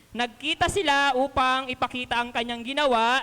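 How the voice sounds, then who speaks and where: A woman speaks loudly in a high pitch. Her tone is bright and sharp. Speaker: lay preacher, elementary school teacher. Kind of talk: sermon.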